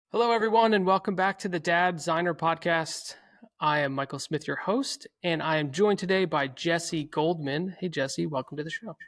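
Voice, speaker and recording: Very clean recording, silent background, with a dry, close sound and no echo. A man speaks at a moderate pace in a high pitch with ordinary pitch variation. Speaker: podcast host. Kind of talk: casual interview. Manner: gentle, calm public-radio style.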